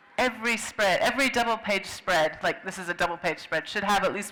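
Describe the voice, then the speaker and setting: The speaker has an American accent and a fairly quick pace. Noticeable background noise is present. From US Pacific Northwest, Seattle. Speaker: children's book illustrator and writer. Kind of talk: interview at a book fair.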